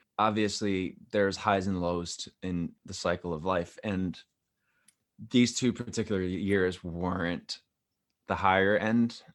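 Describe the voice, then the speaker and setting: A man with an American accent speaks fairly slowly in a fairly low voice with ordinary pitch variation. The recording is very clean, with a silent background. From New York City. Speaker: singer-songwriter. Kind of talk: casual interview.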